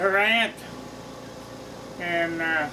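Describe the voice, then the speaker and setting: Over noticeable background noise and audible room echo, a man with an American accent speaks very slowly in a raised, projected voice with fairly even intonation. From US Midwest (southern Missouri Ozarks). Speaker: longtime resident, interviewee. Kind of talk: oral history interview. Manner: halting, with many fillers.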